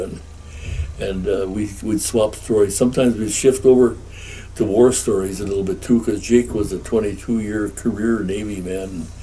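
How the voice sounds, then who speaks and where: A dark, mellow, somewhat breathy voice with an American accent, at a moderate pace with fairly even intonation. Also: man, fairly low pitch for a man. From Upper Peninsula of Michigan; Michigan. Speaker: war veteran and resort owner. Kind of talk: oral history interview answer.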